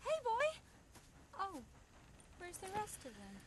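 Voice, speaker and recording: A woman's squeaky, put-on character voice at an extremely high pitch, with very wide pitch swings, a moderate pace and loud background noise. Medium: video game. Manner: drawling, folksy.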